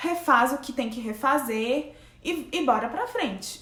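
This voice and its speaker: A high-pitched woman's voice with lively intonation amid noticeable background noise. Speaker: graduate researcher and science YouTuber. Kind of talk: casual tutorial vlog. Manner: conversational.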